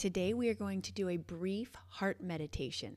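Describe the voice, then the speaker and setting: With an unremarkable speaking voice, a woman talks at a moderate pace in a medium pitch with ordinary pitch variation. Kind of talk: guided meditation. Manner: warm, encouraging, reassuring.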